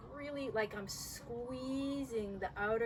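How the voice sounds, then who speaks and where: With noticeable noise behind her, a woman speaks fairly slowly, her intonation lively. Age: 60s. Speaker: yoga teacher. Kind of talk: guided yoga instruction.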